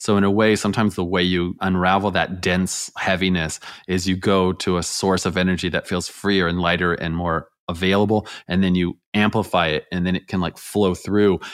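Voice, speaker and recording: At a moderate pace, a man with a very deep, low pitch talks in a monotone, flat intonation on a very clean recording with a silent background. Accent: American. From rural California. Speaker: energy healer, former chiropractor. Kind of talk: interview about energy healing; guided exercise.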